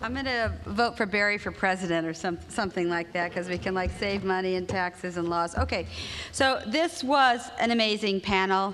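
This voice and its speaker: A woman speaks with an American accent. There is audible room echo. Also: medium pitch for a woman, ordinary pitch variation. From United States. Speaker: advocacy organization leader, moderator. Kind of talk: conference panel talk. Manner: fast.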